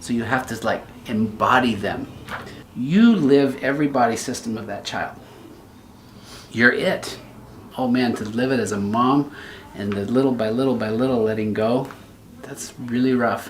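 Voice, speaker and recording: The speaker has a warm tone and takes long, frequent pauses. The room echo is audible and the background noise noticeable. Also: man, medium pitch for a man, fairly even intonation, moderate pace. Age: 60s. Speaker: pediatrician, medical video host. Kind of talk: interview conversation. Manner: warm, empathetic.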